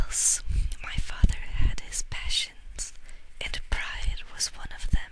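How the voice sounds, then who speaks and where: A soft-spoken woman, whispering at a fairly slow pace, is heard over noticeable background noise. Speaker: ASMR audiobook reader. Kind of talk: audiobook reading, ASMR. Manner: whispered, soft-spoken.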